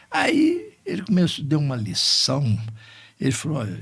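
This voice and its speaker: A man is speaking. His voice has vocal fry. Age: 70s. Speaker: lawyer. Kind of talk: podcast interview, faith reflections and life stories.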